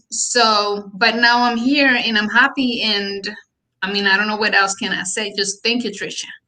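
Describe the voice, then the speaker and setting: A woman with a Colombian accent, a bright, sharp tone, a fairly high pitch, fairly even intonation and a moderate pace. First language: Spanish. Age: 30s. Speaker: real estate agent. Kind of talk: interview. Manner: halting.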